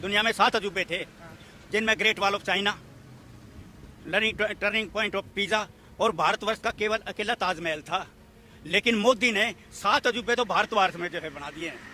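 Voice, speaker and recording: A man speaks in a raised, projected voice with a bright, sharp tone, high pitch and ordinary pitch variation. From Haryana. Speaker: comic poet. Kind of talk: street interview answer.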